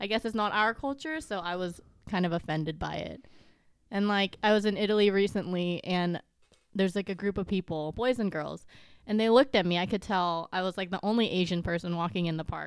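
In an American accent, a woman with an ordinary speaking voice talks at medium pitch and a fairly quick pace with ordinary pitch variation, in a very clean recording with a silent background. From US, Vietnamese American family. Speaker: podcast guest. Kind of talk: casual chat.

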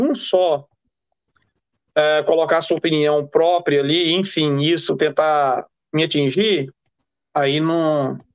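With a Brazilian accent, a man speaks at a very slow pace. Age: 40s. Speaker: freemason. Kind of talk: casual interview.

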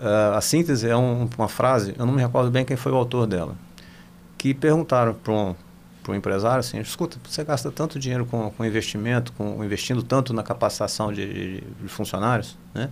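A man talks at a fairly quick pace in a medium-pitched voice with vocal fry and ordinary pitch variation. The recording is very clean, with a silent background. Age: 60s. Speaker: company CEO. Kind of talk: interview.

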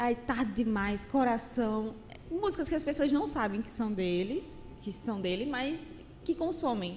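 Her pitch swings very widely as a woman with a Paraíba accent speaks at a fairly slow pace. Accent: Northeastern Brazilian (Paraíba). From Paraíba, Brazil. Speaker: content creator. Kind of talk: casual interview chat.

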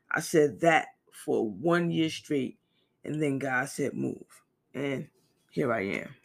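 Very deep and low for a woman, her voice has vocal fry and lively intonation, moving at a very slow pace with long, frequent pauses. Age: 40s. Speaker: podcast host. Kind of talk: personal monologue.

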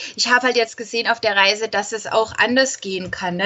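A woman is heard with noticeable background noise. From Austria. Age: 20s. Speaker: travel blogger, former nurse. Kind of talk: interview.

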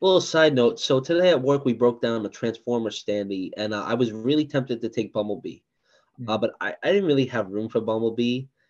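Over a quiet background, a man talks at a fairly quick pace in an ordinary speaking voice, medium-pitched, with lively intonation. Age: 20s. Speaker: podcast host. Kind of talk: casual chat.

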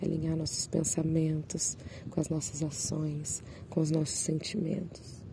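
Over noticeable background noise, a woman with a very deep, low pitch speaks fairly slowly in a monotone, flat delivery at very even loudness. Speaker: solo podcaster sharing personal reflections. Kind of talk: reflective personal monologue. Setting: outdoors, seated among birdsong.

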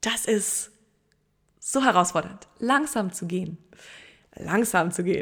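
A woman talks very slowly, leaving long, frequent pauses, at a medium pitch with ordinary pitch variation. The recording is very clean and the background silent. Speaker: podcast host. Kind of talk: inspirational solo podcast monologue.

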